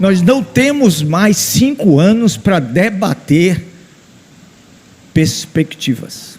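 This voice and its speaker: A man with a high pitch speaks at a very slow pace, his pitch swinging very widely. Long, frequent pauses break up his speech, and background noise is noticeable. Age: 70s. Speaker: engineering professor. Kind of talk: conference talk.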